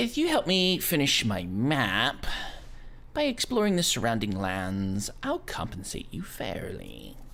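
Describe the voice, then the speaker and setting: A man speaks at a fairly slow pace in a put-on character voice, with clear background noise. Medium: actual play. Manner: formal, polite.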